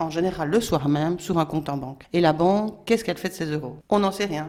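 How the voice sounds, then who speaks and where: Moving at a fairly quick pace, a woman with a fairly low pitch and lively intonation has a plain, everyday voice. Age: 60s. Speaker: local currency activist. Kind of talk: prepared presentation.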